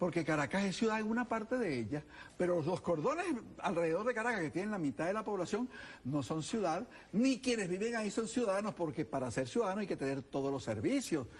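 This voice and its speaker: A man's high-pitched voice with very wide pitch swings, at a very fast pace amid noticeable background noise. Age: 70s. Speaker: political candidate. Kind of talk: TV interview. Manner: animated.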